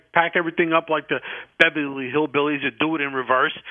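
Speaking at a very fast pace, a man with an American accent uses a fairly high pitch and fairly even intonation. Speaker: caller. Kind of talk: casual chat. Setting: phone call.

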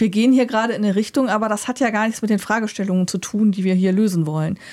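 A woman with a fairly high pitch and ordinary pitch variation is heard on a very clean recording with a silent background. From Germany. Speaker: board game podcast co-host. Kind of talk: casual chat. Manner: hesitant, many fillers.

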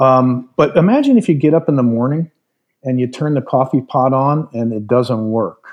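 At a moderate pace, a man with medium pitch and ordinary pitch variation speaks in an ordinary speaking voice. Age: 60s. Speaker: retired aerospace executive and advisor. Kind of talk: podcast interview.

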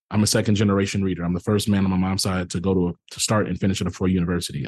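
A man with an American accent is recorded dry and close, with no echo and a quiet background. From US South. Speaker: diversity and inclusion media founder. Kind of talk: interview. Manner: conversational, many fillers.

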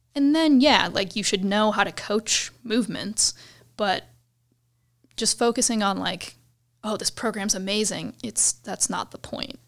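The speaker has a Midwestern American accent and ordinary pitch variation at a fairly slow pace. The recording is very clean, with a silent background. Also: woman, fairly high pitch for a woman. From US Midwest, suburbs of Cleveland, Ohio. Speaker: fitness coach. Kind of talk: casual interview.

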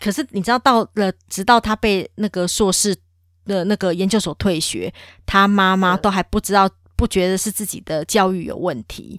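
Recorded very cleanly against a silent background, with a dry, close sound and no echo, a woman speaks in a plain, everyday voice at medium pitch with fairly even intonation. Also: moderate pace. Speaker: podcast co-host. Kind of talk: casual chat.

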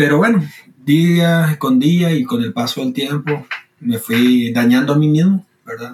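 Here is an ordinary speaking voice with lively intonation at a fairly slow pace. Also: man, fairly high pitch for a man. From Costa Rica. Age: 20s. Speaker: student and logistics worker sharing faith story. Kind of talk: testimony.

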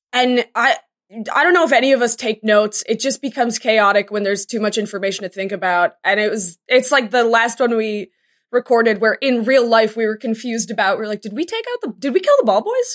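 Fairly high-pitched, a woman with an American accent speaks at a fairly quick pace in an ordinary speaking voice with ordinary pitch variation. The sound is dry and close, with no echo. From Boston, US. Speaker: tabletop game player. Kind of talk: casual chat.

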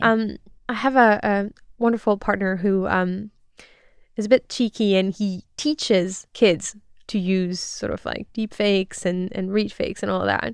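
A woman in a French accent, medium in pitch, fairly slow and fairly even in intonation, on a very clean recording with a silent background. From France. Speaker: disinformation researcher. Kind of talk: interview.

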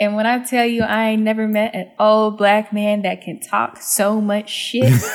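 A woman with an American accent speaks at a fairly slow pace, with hardly any pauses. Her pitch is fairly high, her intonation fairly even, and noticeable background noise is present. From Texas, Dallas. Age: 20s. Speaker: culture critic and writer. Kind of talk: casual interview. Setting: remote call.

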